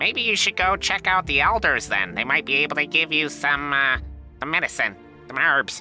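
A man's put-on character voice, fairly high in pitch, at a moderate pace with clear music in the background. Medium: actual play. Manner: curt, dismissive.

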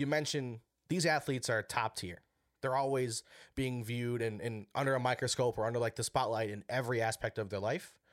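Recorded very cleanly with a silent background and a dry, close sound with no echo, a man with an American accent talks in a plain, everyday voice at medium pitch, fairly quick in pace and with ordinary pitch variation. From Wisconsin. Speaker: casual sports podcast guest. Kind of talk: casual chat.

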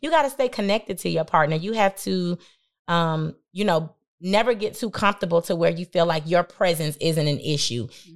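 On a very clean recording with a silent background, a woman speaks at a moderate pace with lively intonation and an animated tone. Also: fairly low pitch for a woman. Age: 30s. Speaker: entrepreneur. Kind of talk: casual chat.

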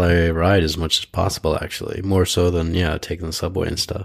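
The recording of this man is very clean, with complete silence behind him. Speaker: podcast host. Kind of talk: casual chat. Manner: joking, chatty.

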